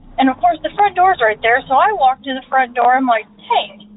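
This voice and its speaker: A woman with an American accent talks at a high pitch with very wide pitch swings. There is noticeable background noise. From Indiana. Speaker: podcast listener caller. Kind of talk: personal story told into a recording.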